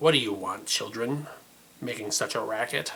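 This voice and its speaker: A man's raspy, put-on character voice at a medium pitch and moderate pace. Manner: irritated, glaring.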